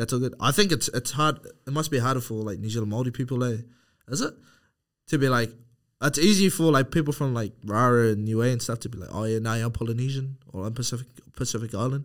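The background is silent on this very clean recording. A man speaks very fast, his pitch varying in an ordinary way. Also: medium pitch for a man. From Cook Islands (Rarotonga). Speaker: podcast host and clothing founder. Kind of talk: casual chat.

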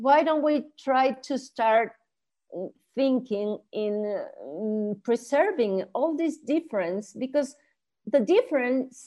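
A woman talks at a very slow pace in a high pitch with a dark, mellow tone. Her intonation is lively, and the background is quiet. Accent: Spanish. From Chile, raised in Mexico. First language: Spanish. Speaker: art historian, professor and author. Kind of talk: casual interview conversation. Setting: video call.

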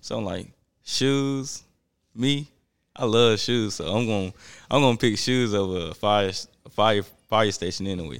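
A man with a Southern US accent, fairly low in pitch with ordinary variation, taking long, frequent pauses in a very clean recording with a silent background. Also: moderate pace. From US South. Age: young. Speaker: sneaker store worker. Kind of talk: casual chat.

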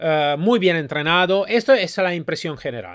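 A man with an Italian accent at a high pitch and moderate pace, with very wide pitch swings, in a very clean recording over a silent background. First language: Italian (speaking Spanish). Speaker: podcast host reviewing training companies. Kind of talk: solo commentary review. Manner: halting, with fillers.

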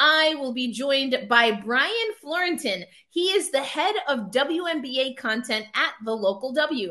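Speaking with an American accent, a woman uses a high, bright, sharp voice that is raised and projected. Her intonation is lively and her pace very slow. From New York. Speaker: podcast host, sports media founder. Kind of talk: casual sports podcast interview.

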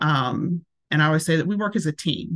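A woman with a Tennessee accent speaks in a very deep, low voice against a quiet background. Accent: Southern US (Tennessee). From US South, Tennessee. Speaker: massage therapist. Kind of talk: casual interview.

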